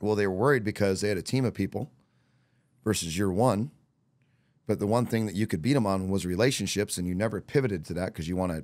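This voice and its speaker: Despite long, frequent pauses, a man speaks at a very fast pace in a fairly low voice with ordinary pitch variation, over a quiet background. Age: 40s. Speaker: real estate coach. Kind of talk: casual interview chat. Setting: podcast recorded during bike week. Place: studio. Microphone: studio mic.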